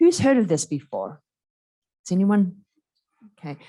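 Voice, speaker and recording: Against a quiet background, a woman with an Australian accent speaks in a dark, mellow tone. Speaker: panel moderator, university associate dean. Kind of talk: panel moderation introduction. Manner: halting, many fillers and restarts.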